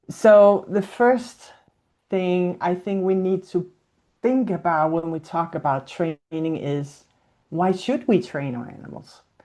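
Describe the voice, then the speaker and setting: A woman in a Danish accent, fairly low-pitched with a dark, mellow tone, very slow pace, lively intonation and big swings in loudness over a quiet background. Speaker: zoo animal welfare and training coordinator. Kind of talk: webinar presentation. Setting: video call.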